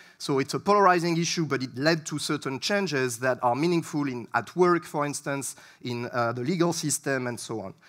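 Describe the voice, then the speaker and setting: Talking at a fairly quick pace with hardly any pauses, a man with a French accent has a fairly high pitch and ordinary pitch variation, captured on a very clean recording against a silent background. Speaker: researcher. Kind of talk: lecture. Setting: stage with audience. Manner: hesitant, many fillers.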